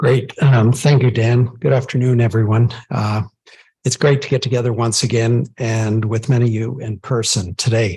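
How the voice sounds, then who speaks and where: This man speaks with fairly even intonation in a dark, mellow tone that is somewhat breathy. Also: medium pitch for a man, moderate pace. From Ontario, Franco-Ontarian. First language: French. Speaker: council member, engineer. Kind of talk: formal self-introduction at council meeting. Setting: council meeting, in person and live-streamed. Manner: formal.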